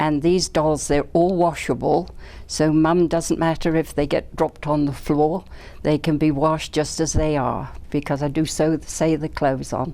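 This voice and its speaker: A woman's very deep, low voice with a dark, mellow tone and vocal fry, flat monotone intonation, very even loudness, and a moderate pace. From England. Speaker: doll maker. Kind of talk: interview.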